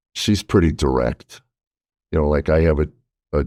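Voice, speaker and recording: The sound is dry and close with no echo. A man with a very deep, low pitch and vocal fry speaks in fairly even intonation. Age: 60s. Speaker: podcast host, comedian. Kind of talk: casual chat.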